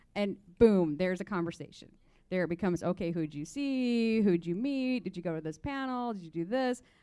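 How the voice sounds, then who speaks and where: A woman speaks in an American accent at a fairly quick pace, her pitch medium. Her tone is dark and mellow, with lively intonation. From small-town Indiana. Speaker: literature professor. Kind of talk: panel discussion.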